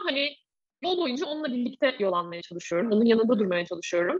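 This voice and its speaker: At a fairly quick pace, a woman speaks in a high pitch with very wide pitch swings. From Turkey, Bursa. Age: 30s. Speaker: former volleyball player, mindfulness coach. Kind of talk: casual interview.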